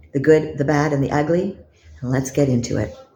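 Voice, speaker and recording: Speaking in a Canadian accent, a woman sounds somewhat breathy with a dark, mellow tone amid audible room echo. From Canada. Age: 60s. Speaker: lifestyle vlogger. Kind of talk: vlog monologue.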